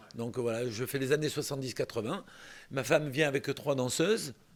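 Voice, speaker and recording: The man's pitch is medium, with ordinary variation. He talks at a moderate pace. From southern France, Toulon (Var). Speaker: singer. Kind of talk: interview. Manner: halting.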